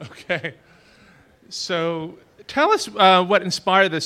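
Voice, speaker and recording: The recording is very clean with a silent background, and a man speaks in a bright, sharp tone. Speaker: event moderator and interviewer. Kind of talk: public interview Q&A. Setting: stage with audience.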